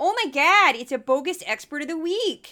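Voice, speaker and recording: A put-on character voice with a high pitch moves along at a moderate pace. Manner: goofy, exaggerated.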